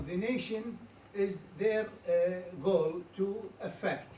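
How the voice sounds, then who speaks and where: The pitch varies in an ordinary way and the pace is very slow. Room echo is audible. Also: man. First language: Arabic. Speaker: audience member asking question. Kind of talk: audience comment. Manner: halting, many fillers.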